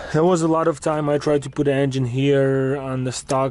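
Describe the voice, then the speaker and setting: A man speaks at medium pitch with a non-native accent and a dark, mellow tone. His intonation is monotone and flat. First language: not English. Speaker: car hobbyist vlogger. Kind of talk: casual tutorial vlog. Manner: halting.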